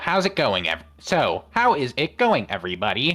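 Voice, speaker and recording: A put-on character voice sits at a low-to-middle pitch and a moderate pace. The recording is very clean, with a silent background. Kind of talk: in-character voice.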